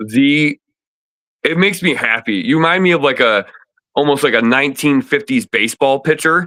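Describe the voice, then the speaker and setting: A man with an American accent, fairly high in pitch, bright and sharp in tone, animated, with lively intonation at a moderate pace, very even loudness and a dry, close sound with no echo. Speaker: disc golf player. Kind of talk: casual chat.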